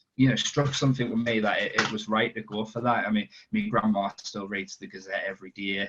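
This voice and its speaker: A man speaks with a strong Sunderland accent and fairly even intonation. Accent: strong Sunderland (Mackem). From northern England, Sunderland. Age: 20s. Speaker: football reporter. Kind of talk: podcast interview. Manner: halting, many repetitions and fillers.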